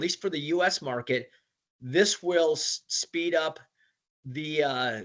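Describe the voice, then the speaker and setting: The speaker is male. His voice sits fairly high in pitch. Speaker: sales director presenting a product. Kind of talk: webinar presentation. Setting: online webinar call. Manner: fast; halting with many repetitions.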